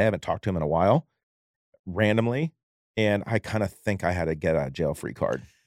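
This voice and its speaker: On a very clean recording with a silent background and a dry, close sound with no echo, a man with a fairly low pitch talks very fast with lively intonation. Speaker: podcast co-host. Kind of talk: casual chat. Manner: laughs often.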